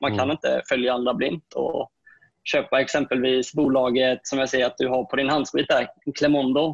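Against a quiet background, a man speaks at a moderate pace in a flat monotone, his loudness very even and the sound dry with no echo. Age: 20s. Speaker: full-time day trader; guest. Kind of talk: panel discussion. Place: home room. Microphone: earbuds.

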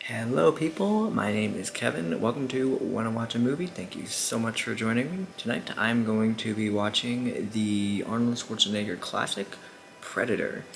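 A man at a moderate pace, ordinary pitch variation, light background noise behind him. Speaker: reaction channel host. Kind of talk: casual vlog chat. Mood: upbeat, friendly. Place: home room.

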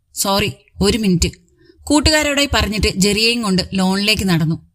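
A woman's ordinary speaking voice at medium pitch, with lively intonation. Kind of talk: romantic story narration.

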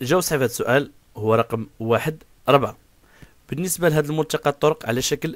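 A man speaks in an ordinary speaking voice at a fairly quick pace. His pitch varies in an ordinary way, and the sound is dry and close with no echo. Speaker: driving instructor. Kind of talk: tutorial.

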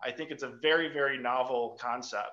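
Bright and sharp in tone, a man speaks at a moderate pace with fairly even intonation. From US Midwest. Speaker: MBA student. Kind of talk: short presentation. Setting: video call. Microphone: video call.

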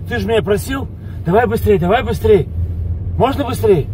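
A man's voice sounds dry with no echo. There is light background noise. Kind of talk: comic rant to passenger. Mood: exasperated comic complaint. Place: car.

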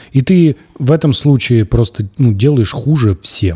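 Against a quiet background, a dark, mellow, somewhat breathy voice speaks with lively intonation. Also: man. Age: 30s. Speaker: podcast host, former news journalist. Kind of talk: casual chat. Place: studio. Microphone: studio mic.

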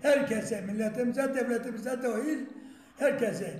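A man's extremely high-pitched voice at a moderate pace, with fairly even intonation, audible room echo and light background noise. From Tekman, Erzurum, Turkey; Erzurum, Turkey. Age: 80s+. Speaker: village elder learning to read and write at a literacy course. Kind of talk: interview answer. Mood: grateful, earnest. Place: classroom. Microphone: camera far.

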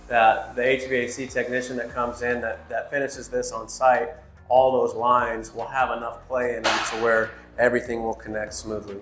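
A man talks at a moderate pace in a monotone, flat intonation. Audible room echo and light background noise are present. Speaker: trade school instructor. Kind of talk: tutorial. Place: empty room. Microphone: phone near.

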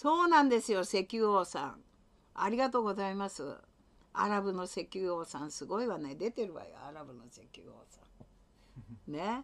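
The woman's pitch swings very widely while she keeps to a moderate pace. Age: old. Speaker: livestreamer's mother. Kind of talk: casual livestream chat with viewers. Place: home room. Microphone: webcam.

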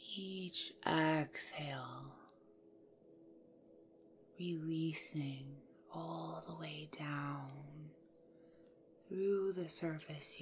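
A very slow pace with long, frequent pauses, fairly even intonation and a calm, soothing tone, over noticeable background noise. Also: woman. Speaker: yoga nidra guide. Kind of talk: guided yoga nidra meditation. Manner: slow, calm, soothing.

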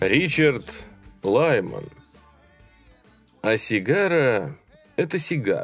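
Music plays in the background as a man talks at a very slow pace. He leaves long, frequent pauses. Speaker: audiobook narrator. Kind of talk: horror story audiobook reading.

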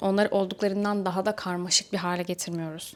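Fairly quick and at a medium pitch, a woman talks in an ordinary speaking voice in a very clean recording with a silent background. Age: 20s. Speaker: self-improvement youtuber and social media coach. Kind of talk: motivational talk to camera.

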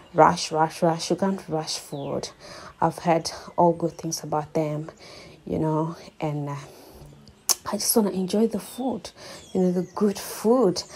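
A woman speaks at a fairly slow pace and a fairly low pitch with ordinary pitch variation. Long, frequent pauses break up her speech over light background noise. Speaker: vlogger. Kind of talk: casual vlog chat. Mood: cheerful, excited. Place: bathroom. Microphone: phone near.

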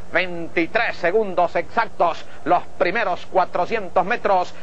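There is light background noise as a man speaks. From Venezuela. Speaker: horse race announcer. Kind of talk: live horse race commentary, 1980 archive call.

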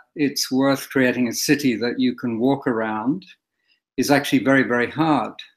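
Against a quiet background, a man with an Australian accent talks with fairly even intonation. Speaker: historian and author. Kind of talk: interview. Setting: video call. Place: home room. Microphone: webcam.

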